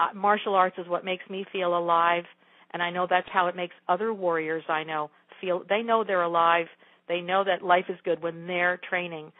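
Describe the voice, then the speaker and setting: The speaker talks at a moderate pace with monotone, flat intonation. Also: woman, fairly low pitch for a woman. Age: 60s. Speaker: yoga teacher and martial artist. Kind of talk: interview.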